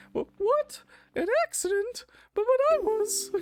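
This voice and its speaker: An extremely high-pitched, put-on character voice moves at a fairly slow pace. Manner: cartoonish.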